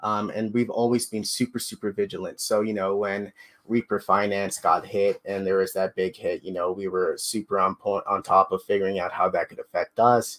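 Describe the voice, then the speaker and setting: A man with a slight Canadian accent speaks at a moderate pace with hardly any pauses, in a dry, close sound with no echo and a very clean recording with a silent background. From Canada. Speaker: crypto project team member. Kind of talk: live AMA interview. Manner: casual, filler-heavy.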